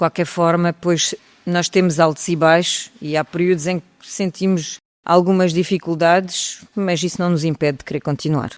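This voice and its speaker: Speaking with a French accent, a woman keeps a moderate pace at a medium pitch. The sound is dry and close, with no echo. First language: French (speaking Portuguese). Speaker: singer. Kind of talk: interview.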